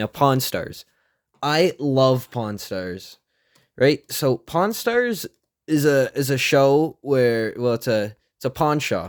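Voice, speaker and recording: A man's fairly high voice, very slow and lively in intonation, on a very clean recording with a silent background. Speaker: YouTuber. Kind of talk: casual commentary video. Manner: halting, many fillers.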